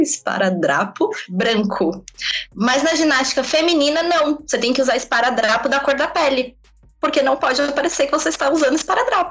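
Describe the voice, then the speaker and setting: This woman's voice is high-pitched, with lively intonation at a moderate pace. Noticeable background noise sits behind her. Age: 20s. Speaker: former gymnast and communications student. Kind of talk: casual chat.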